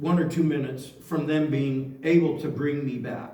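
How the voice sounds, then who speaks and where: A man with a West Coast US accent speaks at a moderate pace in a fairly high pitch, his somewhat breathy voice having a dark, mellow tone and fairly even intonation, with audible room echo. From Oregon, US Pacific Northwest. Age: 60s. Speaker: near-death experience speaker. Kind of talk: testimony.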